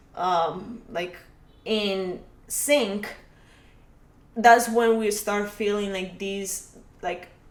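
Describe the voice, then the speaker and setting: A woman at medium pitch, very slow, with long, frequent pauses, big swings in loudness and audible room echo. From Colombia. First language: Spanish. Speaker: podcast guest. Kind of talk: casual chat. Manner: halting, many fillers.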